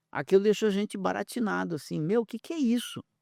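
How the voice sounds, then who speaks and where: The sound is dry and close, without any echo. A man talks on a very clean recording against a silent background. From southern Brazil, Porto Alegre. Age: 60s. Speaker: researcher and speaker. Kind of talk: podcast interview. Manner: animated.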